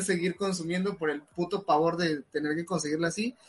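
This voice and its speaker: A man with a high pitch talks at a moderate pace using fairly even intonation. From southern Veracruz, Mexico. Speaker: podcast co-host. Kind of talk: casual chat.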